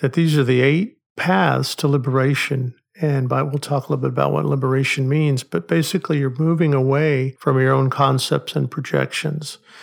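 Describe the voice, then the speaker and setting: A man with a normal speaking voice and an American accent talks at a moderate pace and medium pitch. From Oklahoma, US. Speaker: psychology professor. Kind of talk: casual discussion.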